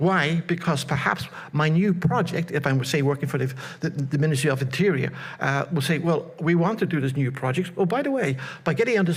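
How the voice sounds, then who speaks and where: Talking very fast at a fairly high pitch with ordinary pitch variation, a man is heard with audible room echo. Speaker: conference presenter. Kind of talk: conference presentation. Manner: repetitive stammering.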